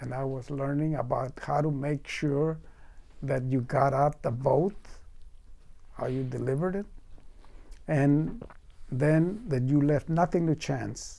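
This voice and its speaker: The man's voice is dark and mellow, pitched fairly high, with ordinary pitch variation. He leaves long, frequent pauses. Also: fairly slow pace. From Mexico. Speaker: farmworker movement organizer. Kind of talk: oral history interview answer. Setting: interview recording. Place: studio.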